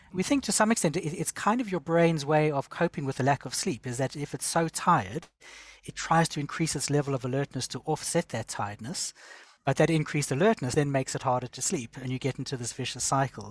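Somewhat breathy and fairly high in pitch, a man speaks at a very fast pace with ordinary pitch variation, in a dry, close sound with no echo on a very clean recording with a silent background. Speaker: sleep medicine doctor. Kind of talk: interview answers, explanatory. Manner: hesitant, repeats words.

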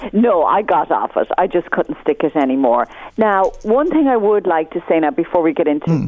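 A woman with an Irish accent speaks at a moderate pace with lively intonation. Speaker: newspaper columnist. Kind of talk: casual chat. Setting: phone call.

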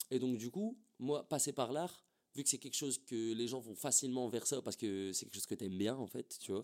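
A man speaks in a plain, everyday voice. His medium pitch shows ordinary variation at a fairly quick pace. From northern France, Templeuve near Roubaix. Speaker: rapper. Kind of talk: casual interview chat. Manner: casual, filler-heavy slang speech.

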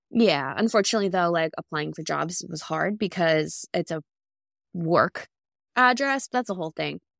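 In a very clean recording with a silent background and a dry, close sound with no echo, a woman with a fairly low pitch and vocal fry talks at a moderate pace with lively intonation. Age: 20s. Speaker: podcast co-host. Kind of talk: casual chat.

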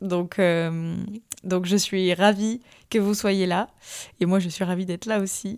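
Fairly even intonation from a woman at a medium pitch, on a very clean recording with a silent background. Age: 20s. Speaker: podcast host. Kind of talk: solo podcast monologue. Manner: hesitant, many fillers and repetitions.

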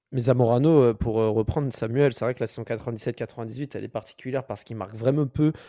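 A man speaks fairly quickly at a medium pitch, with hardly any pauses and a dark, mellow tone. His intonation is fairly even, his loudness swings widely, and the recording is very clean with a silent background. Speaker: football podcast co-host. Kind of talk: casual chat.

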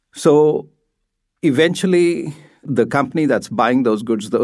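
A man's plain, everyday voice at a moderate pace with ordinary pitch variation, in a very clean recording with a silent background. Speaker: supply chain academic. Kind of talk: interview.

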